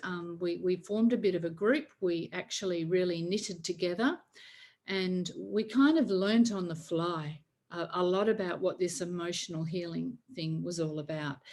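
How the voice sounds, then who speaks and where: At a moderate pace, a woman with a medium pitch speaks in a plain, everyday voice. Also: ordinary pitch variation. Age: 60s. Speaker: faith-based emotional healing coach. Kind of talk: online workshop talk.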